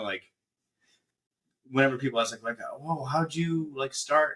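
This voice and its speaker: This man has a fairly high pitch and a bright, sharp tone. He talks at a moderate pace with ordinary pitch variation. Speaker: voice actor. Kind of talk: casual interview answer.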